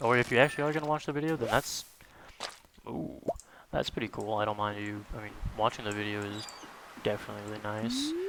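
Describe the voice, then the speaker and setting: There is noticeable background noise behind a man speaking in a fairly low pitch. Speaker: gaming YouTuber. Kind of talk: casual gameplay commentary. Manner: calm, quiet and slow; filler-heavy, relaxed.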